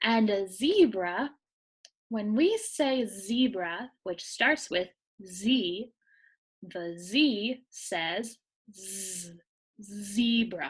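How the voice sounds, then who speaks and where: A woman at a very slow pace and medium pitch, somewhat breathy, with ordinary pitch variation, big swings in loudness and long, frequent pauses. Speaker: teacher. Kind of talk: tutorial. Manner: slow, clear enunciation; whispering.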